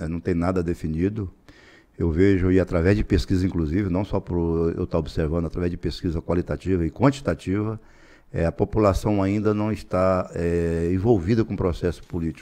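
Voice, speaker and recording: A man's very deep, low voice, dark and mellow in tone, at a fairly quick pace with ordinary pitch variation over a quiet background. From Tocantins, Brazil. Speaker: politician and businessman; politician. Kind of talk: interview; interview answer. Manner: halting, repeats words. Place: studio. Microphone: studio mic.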